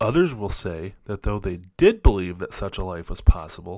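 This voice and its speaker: A man with an unremarkable speaking voice talks at a moderate pace in a fairly low pitch, recorded very cleanly with a silent background. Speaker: missionary podcaster and Bible teacher. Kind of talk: reading aloud from a devotional book. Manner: earnest, measured, prayerful.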